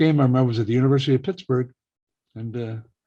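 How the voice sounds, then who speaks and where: In an American accent, a somewhat breathy voice talks at a very fast pace over a quiet background. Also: man. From Iowa (Waterloo). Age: 70s. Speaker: radio broadcaster. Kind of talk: oral history interview.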